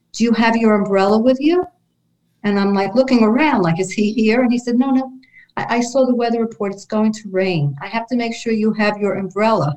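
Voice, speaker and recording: In a New York accent, a woman talks at a fairly quick pace in a fairly high voice. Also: ordinary pitch variation. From New York City, Brooklyn. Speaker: descendant of Holocaust-era family. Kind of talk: interview storytelling.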